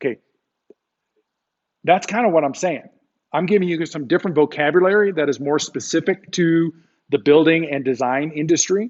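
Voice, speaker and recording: Pausing long and often, a man with a fairly high pitch speaks at a moderate pace with ordinary pitch variation. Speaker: high school construction teacher. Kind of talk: live online class lecture. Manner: casual, animated.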